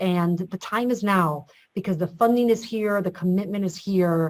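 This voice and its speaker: A woman with a normal speaking voice talks at a moderate pace, her medium pitch held in fairly even intonation. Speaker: state government official. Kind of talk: webinar panel discussion.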